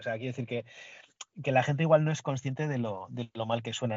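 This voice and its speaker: A man with a plain, everyday voice speaks at a medium pitch, his intonation fairly even. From Basque Country, Spain. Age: 40s. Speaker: podcast guest, Bond fan. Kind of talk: casual chat.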